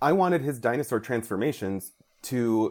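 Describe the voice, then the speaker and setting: In a plain, everyday voice, a man talks at a fairly quick pace and medium pitch with lively intonation, on a very clean recording with a silent background. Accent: American. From Mexican American, US. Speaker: comic book writer. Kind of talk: interview.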